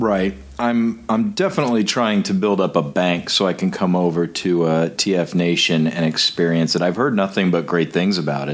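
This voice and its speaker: A man with an American accent and a very deep, low pitch speaks at a moderate pace with ordinary pitch variation and hardly any pauses. His loudness stays very even against noticeable background noise. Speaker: podcast host. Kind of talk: casual interview.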